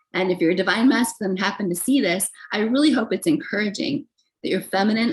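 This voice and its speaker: A woman speaks at a medium pitch with lively intonation. Her voice is somewhat breathy. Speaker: tarot reader. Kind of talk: tarot reading monologue. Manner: casual, filler-heavy.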